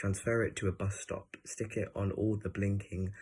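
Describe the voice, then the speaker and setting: A man talks at a fairly slow pace, his voice somewhat breathy. His intonation is monotone and flat. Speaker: poet. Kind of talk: poetry reading. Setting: online event. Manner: halting.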